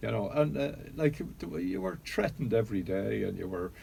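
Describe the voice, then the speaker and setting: A man's dark, mellow voice with a Dublin accent, vocal fry, and very wide pitch swings. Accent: Irish, Dublin. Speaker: pub owner and traditional music figure. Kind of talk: radio interview.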